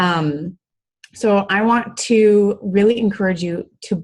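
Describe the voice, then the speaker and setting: A woman speaks with an American accent. Her voice is somewhat breathy, with ordinary pitch variation. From US Midwest, Iowa. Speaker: fitness coach. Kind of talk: motivational talk on group call. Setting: conference call with screen share. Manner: casual, many fillers (um, I mean).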